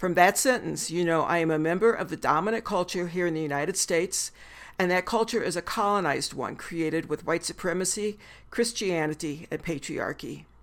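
A woman speaks at a fairly quick pace in a fairly low pitch. Her pitch varies in an ordinary way, and the recording is very clean with a silent background. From US Midwest. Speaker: podcast host, animal kinship educator. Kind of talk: solo podcast monologue.

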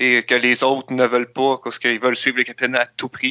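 A man at a medium pitch. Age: young. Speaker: film reviewer. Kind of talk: casual chat.

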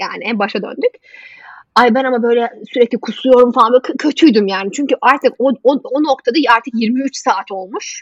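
Her pitch is high. The woman's pitch shifts in an ordinary way. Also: moderate pace, dry, close sound with no echo. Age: 30s. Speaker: health journalist. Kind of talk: casual interview. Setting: video call.

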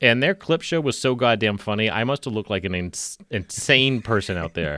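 A man with a medium pitch and vocal fry talks at a moderate pace with very wide pitch swings, his voice dry and close with no echo on a very clean recording with a silent background. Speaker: podcast host. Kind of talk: casual chat.

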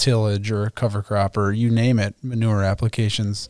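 A man with an American accent talks at a moderate pace and a medium pitch, in a plain, everyday voice. The recording is very clean, with a silent background. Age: 30s. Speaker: agronomy podcast host. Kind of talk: casual interview.

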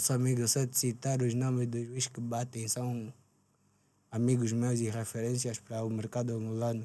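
Medium pitch from a man, a dark, mellow tone and monotone, flat intonation at a moderate pace. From Angola, Luanda. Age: 20s. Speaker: rapper. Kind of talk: casual chat. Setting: studio.

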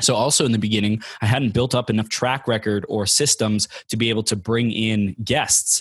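The speaker talks at a fairly quick pace, somewhat breathy, with very even loudness and fairly even intonation. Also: man, medium pitch for a man. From Southern California, Inland Empire. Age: 20s. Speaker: life coach and motivational speaker. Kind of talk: podcast interview.

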